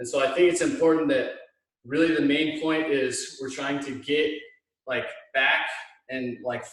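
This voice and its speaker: A man with audible room echo. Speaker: hitting coach. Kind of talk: tutorial. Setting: video call from home. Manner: loud.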